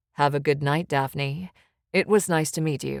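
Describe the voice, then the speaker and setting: A woman puts on a character voice, husky and quiet, very deep and low in pitch, with fairly even intonation at a moderate pace and a dry, close sound with no echo. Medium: read story. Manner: quiet, teasing.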